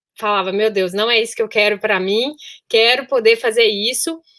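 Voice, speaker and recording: A woman with a Minas Gerais accent speaks at a moderate pace, her fairly high pitch carrying a bright, sharp tone. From Brazil, Minas Gerais (Sete Lagoas). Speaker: solo traveler, engineer. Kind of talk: podcast interview.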